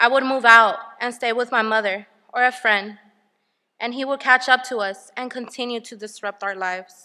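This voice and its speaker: Her pitch is high, with fairly even intonation and big swings in loudness. The woman talks at a moderate pace. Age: 20s. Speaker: formerly homeless single mother. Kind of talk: testimony. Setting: stage with audience.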